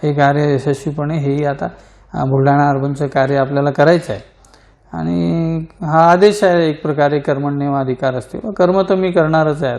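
A man speaks in a plain, everyday voice at a fairly high pitch with ordinary pitch variation. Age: 40s. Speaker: cooperative bank chairman. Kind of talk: interview.

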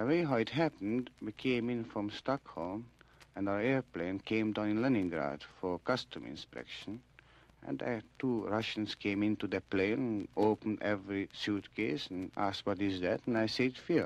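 A man with a normal speaking voice talks at a moderate pace in a fairly low pitch with ordinary pitch variation, the sound dry with no echo. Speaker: radio interviewee. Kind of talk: interview answer. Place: studio. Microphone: old recording.

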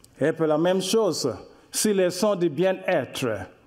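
Talking very slowly, a man keeps his pitch variation ordinary. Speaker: speaker. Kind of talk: lecture. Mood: warm, smiling explanatory. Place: hall. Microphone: podium.

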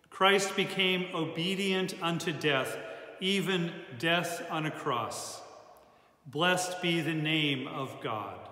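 In a solemn tone, a man with a high pitch speaks at a very slow pace with ordinary pitch variation and audible room echo. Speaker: church service leader. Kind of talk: liturgical prayer, Good Friday worship. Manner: solemn, fervent, slow and heartfelt. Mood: solemn, reverent. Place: church. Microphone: phone near.

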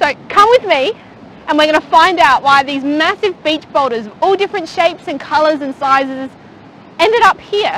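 A woman talks at a moderate pace with lively intonation. Her voice is high-pitched with a fairly bright tone.

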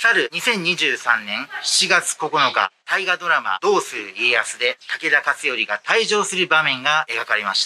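Light background noise lingers in the recording. Over it, a man talks at a moderate pace. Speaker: travel vlogger. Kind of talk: casual vlog chat. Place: station. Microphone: phone near.

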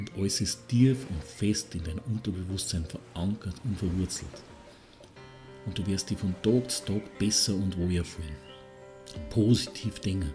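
With music in the background, a man speaks in a calm tone at a fairly slow pace and fairly low pitch. His intonation is lively, broken by long, frequent pauses. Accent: Bavarian. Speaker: hypnotherapist. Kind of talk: guided relaxation hypnosis. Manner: calm, slow.

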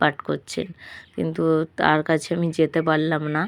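A woman's very deep, low voice. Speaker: vlogger. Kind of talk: casual vlog narration.

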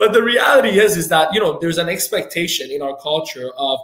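Audible room echo surrounds a man's high-pitched voice, and the background is quiet. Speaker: entrepreneur, financial firm owner. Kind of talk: podcast interview. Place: office.

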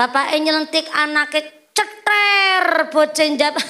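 In a Javanese accent, a woman speaks fairly slowly in a raised, projected voice at an extremely high pitch, with ordinary pitch variation. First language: Javanese (speaking Indonesian). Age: 20s. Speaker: female preacher. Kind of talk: comedic sermon. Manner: animated. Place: stage. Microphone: handheld.

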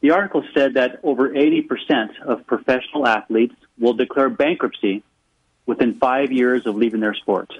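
A man with an ordinary speaking voice talks at a moderate pace and a medium pitch, with ordinary pitch variation and very even loudness. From United States, raised in several states and military schools abroad. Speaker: financial advisor and author. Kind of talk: radio interview. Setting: phone call.

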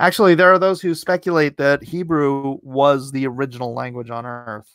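In a dry sound with no echo and a quiet background, a man speaks at a moderate pace with ordinary pitch variation. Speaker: YouTube political commentary host and comic artist; livestream host. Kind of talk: live-stream commentary. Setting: live stream. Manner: animated. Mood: opinionated, animated. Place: home room. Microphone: studio mic.

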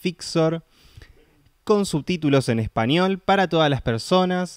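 On a very clean recording with a silent background and a dry, close sound with no echo, a man talks at a fairly slow pace with lively intonation. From Buenos Aires, Argentina. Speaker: deaf film worker and festival organizer. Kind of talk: interview. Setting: studio.

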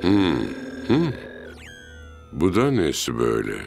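Over faint background music, a man does a cartoonish character voice, low-pitched and slow with vocal fry, very wide pitch swings and a slightly mellow tone.

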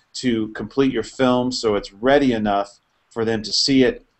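A man with a plain, everyday voice talks at a moderate pace and medium pitch, his intonation fairly even. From Houston, Texas. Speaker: indie film producer. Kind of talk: casual panel discussion.

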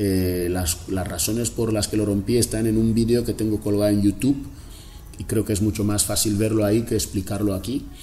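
Over light background noise, a man speaks at a fairly quick pace in a fairly low pitch with fairly even intonation. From Equatorial Guinea, Río Muni interior (Fang region); Equatorial Guinea. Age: 40s. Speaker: cartoonist and former political prisoner; interviewee. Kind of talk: interview. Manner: halting, with many repetitions. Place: home room.

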